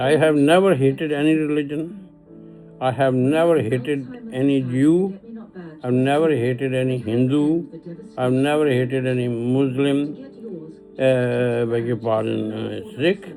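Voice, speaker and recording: In a room with audible echo and noticeable background noise, a man speaks at a fairly slow pace with medium pitch and ordinary pitch variation. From Pakistan. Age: 80s+. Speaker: retired elder giving a video message. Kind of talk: personal appeal monologue. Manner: halting.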